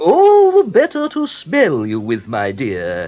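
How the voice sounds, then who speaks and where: The speaker uses a put-on character voice and moves at a fairly slow pace. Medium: read story. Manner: falsely sweet, feigned old woman.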